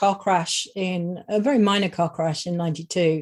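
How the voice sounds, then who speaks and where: A woman with a British accent, medium pitch and fairly even intonation at a moderate pace over a quiet background. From England. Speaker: singer. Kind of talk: interview. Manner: halting.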